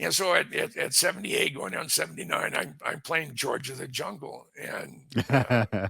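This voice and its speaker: Noticeable background noise sits behind the audio. A man speaks at a moderate pace. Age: 70s. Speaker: aviation author and photographer. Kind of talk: interview conversation. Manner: halting, many restarts.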